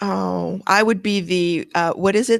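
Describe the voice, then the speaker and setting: In a plain, everyday voice, a woman speaks at medium pitch with a Canadian accent. Her pace is fairly slow. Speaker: podcast co-host. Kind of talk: casual podcast outro chat. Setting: live-streamed video podcast recording.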